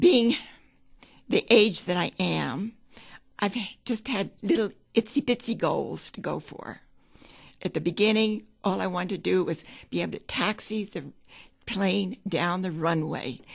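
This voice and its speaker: A woman speaks at a fairly slow pace with vocal fry and long, frequent pauses, over a quiet background. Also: medium pitch for a woman, ordinary pitch variation. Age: 80s+. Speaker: amateur pilot. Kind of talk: interview answer.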